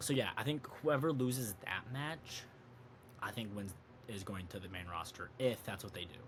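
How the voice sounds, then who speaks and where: A man's somewhat breathy voice at medium pitch, at a fairly quick pace. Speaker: wrestling and sports podcast host. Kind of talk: casual solo commentary. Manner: fast; halting, self-correcting.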